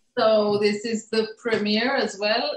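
With audible room echo, a woman speaks at a fairly slow pace and fairly high pitch. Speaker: animation filmmaker; filmmaker on festival panel. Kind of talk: panel Q&A. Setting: video call. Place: home room. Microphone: video call.

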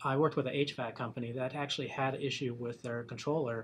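A man talks at a very fast pace, his voice somewhat breathy. His intonation stays fairly even over light background noise. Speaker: industry analyst. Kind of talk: interview. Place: studio.

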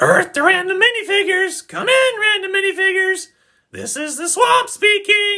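A woman's squeaky put-on character voice at an extremely high pitch. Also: moderate pace. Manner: shouting, drill-sergeant harsh.

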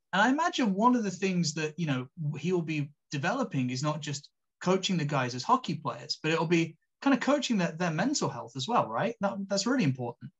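A high-pitched man with a British accent talks at a fairly quick pace with very wide pitch swings. The background is quiet. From England. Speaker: podcast host and sports commentator. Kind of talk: casual interview. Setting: video call. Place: home room. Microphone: video call.

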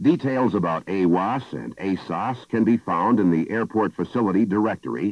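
An ordinary speaking voice comes through with ordinary pitch variation. The sound is dry, with no echo. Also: man, quiet background. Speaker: film narrator. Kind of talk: instructional narration.

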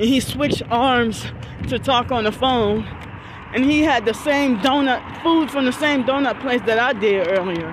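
Speaking at a fairly slow pace, a woman with a high-pitched voice uses ordinary pitch variation, heard with a dry sound, no echo and noticeable background noise. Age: 40s. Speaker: vlogger. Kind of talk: vlog monologue. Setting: outdoors. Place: street. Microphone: phone near.

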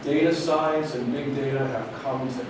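Amid strong room echo and noticeable background noise, a man with an American accent talks with fairly even intonation. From US Midwest. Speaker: business school professor. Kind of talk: lecture. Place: hall.

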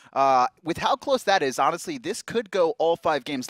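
The sound is dry, with no echo. A man talks against a quiet background. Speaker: esports commentator. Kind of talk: live esports commentary, play-by-play. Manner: fast, urgent play-by-play, pointing out action as it happens. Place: studio. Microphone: headset.

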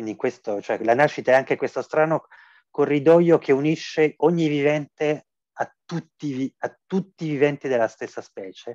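A man speaks in an ordinary speaking voice at a fairly high pitch. The background is quiet. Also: ordinary pitch variation, moderate pace. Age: 40s. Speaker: philosophy professor. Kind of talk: interview. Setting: video call. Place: home room. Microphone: video call.

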